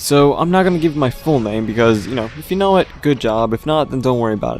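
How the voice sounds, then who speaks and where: Music plays in the background as a man speaks at medium pitch. His intonation is lively. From New York, US, raised in a Russian-speaking home. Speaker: gaming YouTuber. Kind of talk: casual vlog monologue. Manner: stumbles over words, halting at times.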